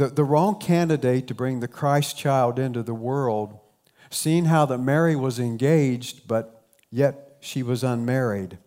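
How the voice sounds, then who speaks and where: With a southern Ohio accent and a dark, mellow tone, a man speaks at a fairly slow pace, his pitch medium with ordinary variation. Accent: Appalachian southern Ohio, noticeable. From southern Ohio, Appalachian. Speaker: pastor. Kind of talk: sermon. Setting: church.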